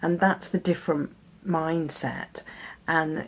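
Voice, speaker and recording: The recording is very clean, with a silent background. The delivery comes at a fairly slow pace. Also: woman. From Britain. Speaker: podcast host. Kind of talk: solo podcast monologue.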